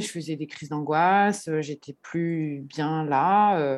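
A woman with a plain, everyday voice, a fairly low pitch and ordinary pitch variation against a quiet background. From Paris, France. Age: 30s. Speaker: florist. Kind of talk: interview.

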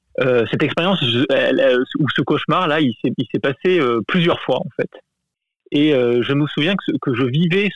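With ordinary pitch variation and a moderate pace, a man uses a normal speaking voice. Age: adult. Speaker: listener sharing a story. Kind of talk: testimony.

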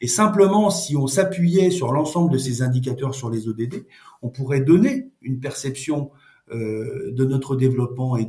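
At a fairly slow pace, a man talks with lively intonation. His pitch sits fairly high. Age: 50s. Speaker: NGO director. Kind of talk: interview. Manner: halting, repeats words.

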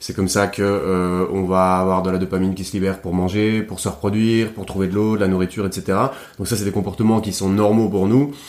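A man with a fairly low pitch speaks at a fairly quick pace in a monotone, flat intonation. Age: 30s. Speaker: podcast host. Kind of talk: casual chat. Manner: halting.

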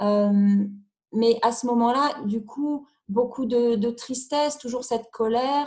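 A woman with a dark, mellow tone and a high pitch speaks at a very slow pace with fairly even intonation. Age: 40s. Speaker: single mother sharing personal story. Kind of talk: personal testimony interview. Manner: halting, hesitant with repetitions.

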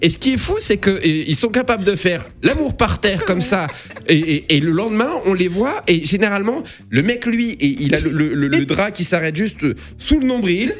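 The man's high voice swings very widely in pitch as he talks at a moderate pace. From eastern France, Lorraine (Nancy suburbs). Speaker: comedian and radio host. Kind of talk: radio interview. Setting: radio studio.

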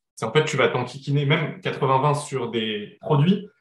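This man's voice sits fairly high in pitch and sounds somewhat breathy. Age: 30s. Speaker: entrepreneur. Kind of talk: podcast interview. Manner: hesitant with many fillers.

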